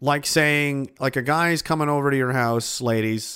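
A man with a Nova Scotian accent has a fairly high pitch. His intonation is lively. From Nova Scotia, Canada (Pictou). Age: 30s. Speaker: livestream podcast host. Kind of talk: casual livestream chat. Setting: home livestream in a basement. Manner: rambling, laughing often.

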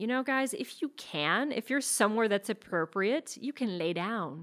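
A woman with an unremarkable speaking voice at a fairly quick pace, on a very clean recording with a silent background. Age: 40s. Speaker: yoga and meditation teacher, podcast host. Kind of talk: chatty solo podcast talk. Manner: relaxed, gently soothing, conversational pace with casual fillers; upbeat and friendly, with occasional laughs.

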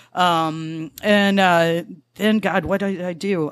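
A plain, everyday voice on a very clean recording with a silent background. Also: woman. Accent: American. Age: 40s. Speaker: bartender and former actor.

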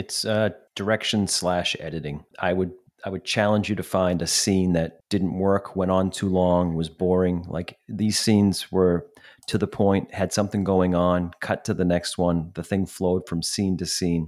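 Monotone, flat delivery on a very clean recording with a silent background. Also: man, very deep, low pitch for a man, moderate pace. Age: middle-aged. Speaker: podcast co-host. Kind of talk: casual chat.

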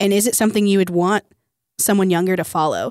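A woman's fairly quick speech in a plain, everyday voice, medium in pitch, with fairly even intonation. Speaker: youth camp leader. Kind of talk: casual chat. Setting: radio studio.

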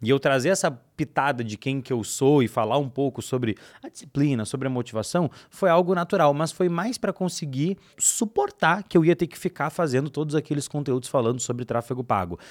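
A plain, everyday voice at a fairly quick pace with lively intonation, a dry, close sound with no echo, and a very clean recording with a silent background. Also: man, fairly high pitch for a man. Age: 20s. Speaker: digital marketing educator. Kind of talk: casual interview chat.

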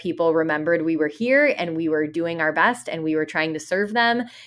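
A woman speaks with a Chicago-area accent at a fairly low pitch. The recording is very clean, with a silent background. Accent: Chicago-area American English. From Chicago suburbs, US Midwest. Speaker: dance educator and studio owner. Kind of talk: interview.

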